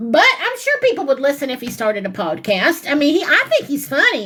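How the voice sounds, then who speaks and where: A woman talks at a fairly quick pace in a raised, projected voice. Her pitch swings very widely. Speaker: commentary channel host. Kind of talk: reaction commentary. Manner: loud.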